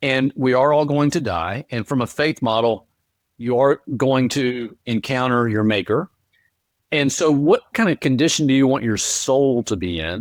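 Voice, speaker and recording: A man with an unremarkable speaking voice, medium pitch, ordinary pitch variation and a moderate pace, recorded very cleanly against a silent background with a dry, close sound and no echo. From North Carolina, US South. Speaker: author and speaker. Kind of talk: interview.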